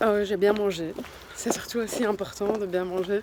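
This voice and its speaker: A woman speaks at a medium pitch in a flat, monotone way. Noticeable background noise sits behind her. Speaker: vlogger. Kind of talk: casual vlog talk to camera. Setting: in a car, then at home at night. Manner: halting, many hesitations; soft-spoken.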